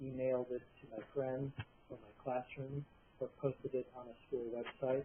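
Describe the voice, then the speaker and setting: A quiet man's voice at a medium pitch and moderate pace. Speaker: software developer presenting a product. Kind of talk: webinar presentation. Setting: online meeting.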